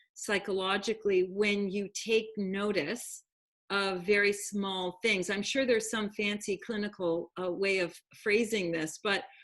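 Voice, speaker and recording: At a fairly slow pace, a woman speaks at a medium pitch in a normal speaking voice. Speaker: program host. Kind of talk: online talk show hosting.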